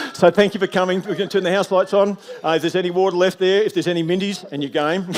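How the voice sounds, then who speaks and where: Over noticeable background noise, a man with a high pitch races along at a very fast pace in a monotone, flat intonation. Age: 60s. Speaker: storyteller. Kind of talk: closing speech to audience. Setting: theatre stage with audience.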